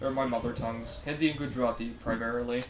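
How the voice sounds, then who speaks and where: Music plays in the background as a man talks at a fairly quick pace. His intonation is fairly even, and audible room echo is present. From Canada. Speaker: video game streamer. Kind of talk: casual chat. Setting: live stream.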